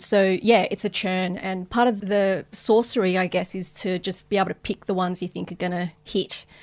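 A woman with a medium pitch speaks at a moderate pace in a monotone, flat intonation with hardly any pauses, on a very clean recording with a silent background. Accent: Australian. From Australia. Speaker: streaming content executive. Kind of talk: interview. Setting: studio.

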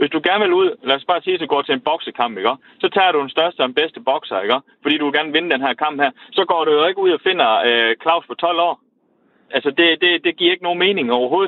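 Pitched fairly high, a man shows ordinary pitch variation. He speaks at a very fast pace. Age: 30s. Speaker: caller. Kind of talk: radio phone-in discussion. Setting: phone call. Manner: halting.

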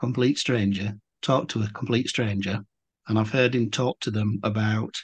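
In an English accent, a man speaks at a moderate pace with a fairly low, somewhat breathy voice and fairly even intonation. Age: 50s. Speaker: podcast host and volunteer. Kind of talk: casual interview chat.

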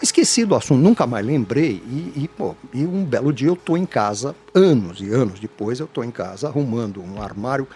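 Music plays in the background as a man talks at a moderate pace and medium pitch. His pitch swings very widely, and he hardly pauses. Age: 60s. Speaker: franchising consultant. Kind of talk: interview. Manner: casual, repetitive stammering.

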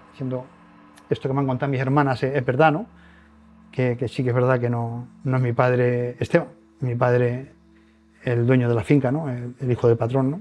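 Medium-pitched male speech at a moderate pace, monotone and flat, broken by long, frequent pauses, with music in the background. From Spain, Toledo province rural village. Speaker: lottery ticket seller, former bricklayer. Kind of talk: testimony. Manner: halting.

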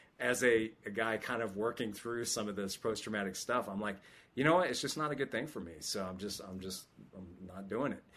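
An ordinary speaking voice from a man with an American accent, fairly low in pitch, with lively intonation, a fairly quick pace and a quiet background. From California, Sacramento. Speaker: military chaplain. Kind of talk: interview.

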